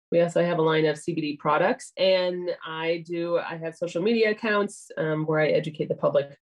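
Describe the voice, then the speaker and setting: At a moderate pace, a woman talks in a plain, everyday voice pitched fairly low. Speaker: cannabis nurse and educator. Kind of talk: casual interview.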